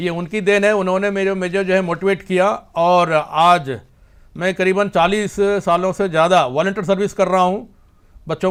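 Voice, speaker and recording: Over a very clean recording with a silent background, a man talks at a high pitch with fairly even intonation. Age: 60s. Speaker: martial arts grand master. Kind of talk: interview. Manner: halting, with fillers.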